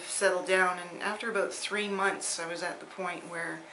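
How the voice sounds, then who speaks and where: A woman's medium-pitched voice at a moderate pace, with fairly even intonation, audible room echo and noticeable background noise. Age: 60s. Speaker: patient. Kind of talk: testimony. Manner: halting, many fillers.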